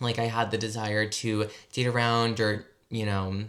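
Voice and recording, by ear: A man's fairly low, fairly bright voice with an American accent, at a fairly slow pace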